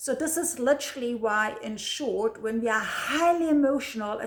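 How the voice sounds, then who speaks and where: The speaker has a German accent. Pitch varies in an ordinary way. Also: woman. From Germany. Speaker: video blogger. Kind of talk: casual talk to camera. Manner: halting, repeats words.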